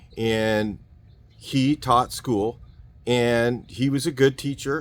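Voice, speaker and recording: On a very clean recording with a silent background, a man with an American accent speaks at a medium pitch with ordinary pitch variation. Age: 60s. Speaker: car mechanic YouTuber. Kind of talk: casual opinion monologue. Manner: hesitant, with filler words.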